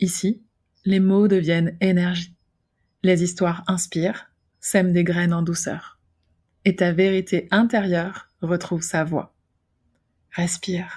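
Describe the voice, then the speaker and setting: The speech is very slow, with long, frequent pauses. The voice is somewhat breathy, in a monotone, flat intonation. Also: woman. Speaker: podcast host, storyteller and holistic practitioner. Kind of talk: whispered spiritual tale podcast narration. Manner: soft, whispering, soothing.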